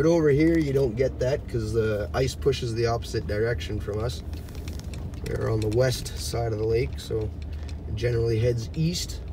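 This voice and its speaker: Long, frequent pauses break up speech at a moderate pace against noticeable background noise. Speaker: driver vlogger. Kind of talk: casual vlog chat. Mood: relaxed, chatty. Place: car. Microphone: phone near.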